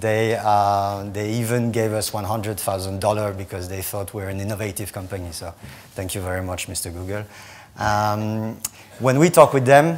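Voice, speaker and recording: In a French accent, a man speaks at a moderate pace and a fairly low pitch, with ordinary pitch variation and big swings in loudness, amid audible room echo. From France. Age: 40s. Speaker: startup founder and CEO. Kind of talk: conference talk.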